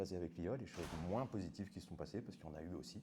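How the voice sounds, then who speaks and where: A man's voice with music in the background. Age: 40s. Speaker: web developer. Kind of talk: conference talk. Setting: meetup with audience. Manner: casual.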